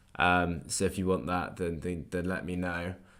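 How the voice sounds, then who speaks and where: A man speaks with a very deep, low pitch. Room echo is audible around his voice. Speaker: trading livestreamer. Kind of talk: live stream chat and trading commentary. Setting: livestream. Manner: fast.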